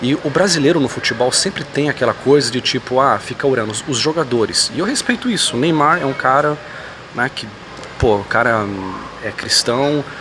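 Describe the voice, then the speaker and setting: Soft-spoken, a man talks at a fairly high pitch with ordinary pitch variation. Background noise is noticeable. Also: moderate pace. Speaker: YouTuber commenting on religion and politics. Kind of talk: vlog monologue. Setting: airport.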